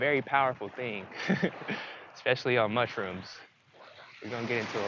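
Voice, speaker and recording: Medium pitch from a man, with noticeable background noise throughout. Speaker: spiritual self-help vlogger. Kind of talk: casual monologue. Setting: outdoors by the sea.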